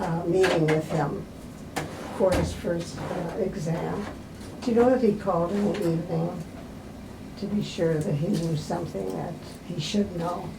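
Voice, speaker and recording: Amid noticeable background noise and audible room echo, a woman speaks fairly low in pitch at a moderate pace, with fairly even intonation and long, frequent pauses. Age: 90s. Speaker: patient. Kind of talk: casual chat. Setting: doctor's office.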